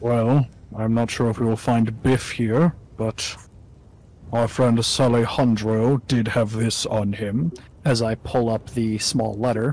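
A man performs a put-on character voice at a medium pitch, moving at a fairly slow pace. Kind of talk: tabletop roleplay in character. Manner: calm, formal, measured.

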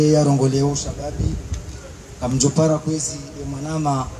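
Noticeable background noise runs through the clip. A man speaks fairly slowly over it. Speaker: speaker. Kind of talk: ceremonial speech. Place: open country. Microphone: handheld.

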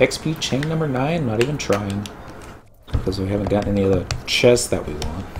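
A man at a fairly low pitch, talking at a fairly quick pace with ordinary pitch variation amid audible room echo

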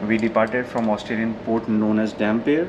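Moderate pace from a man, with noticeable background noise. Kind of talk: tour explanation vlog. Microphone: phone near.

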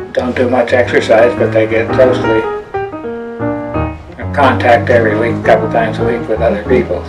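At a moderate pace, a man delivers his lines while clear music plays behind him. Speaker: fitness instructor and health coach. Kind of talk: interview answer. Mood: warm, relaxed storytelling. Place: kitchen. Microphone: webcam.

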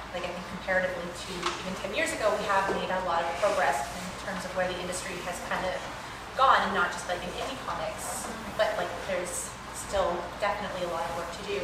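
A woman at a very fast pace, with loud background noise and audible room echo. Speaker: panelist. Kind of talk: panel discussion answer. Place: hall. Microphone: camera far.

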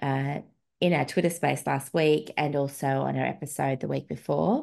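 Over a quiet background, a woman talks in an Australian accent. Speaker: podcast host, feminist researcher and blogger. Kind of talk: casual chat. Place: home room. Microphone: video call.

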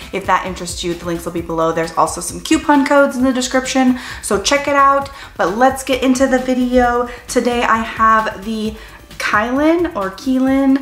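High-pitched, a woman speaks at a moderate pace with big swings in loudness and audible room echo. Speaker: product reviewer. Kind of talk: casual vlog chat. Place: home room.

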